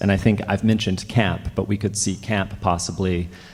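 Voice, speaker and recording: Over noticeable background noise, a man with an American accent talks fairly quickly at a fairly low pitch. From Alabama, US South. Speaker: panel moderator. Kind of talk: panel discussion.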